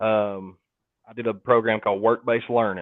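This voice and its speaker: Talking at a fairly quick pace, a man with a Southern US accent keeps a fairly low pitch and monotone, flat intonation. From North Georgia, US South. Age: 20s. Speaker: HVAC technician and YouTuber. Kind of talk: casual interview chat. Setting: livestream.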